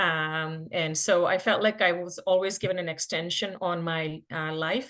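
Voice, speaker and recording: A woman's fairly low voice in a Telugu accent against a quiet background. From India, Karnataka. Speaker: physician. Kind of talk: podcast interview.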